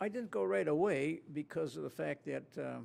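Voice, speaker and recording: Here a man is talking. He has a Midwestern American accent. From northern Illinois (Elgin). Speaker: war veteran. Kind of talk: oral history interview. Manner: halting, many fillers.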